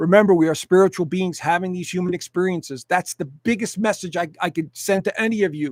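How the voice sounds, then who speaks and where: Talking at a very fast pace and a high pitch, a man comes through in a dry, close sound with no echo. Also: ordinary pitch variation. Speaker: astrologer. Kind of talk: live stream presentation. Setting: live stream.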